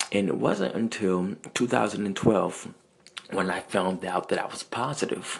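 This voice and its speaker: Speaking at a very slow pace, a man with a fairly low pitch and ordinary pitch variation talks over noticeable background noise. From US South, Central Virginia. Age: 30s. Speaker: podcaster. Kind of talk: personal monologue.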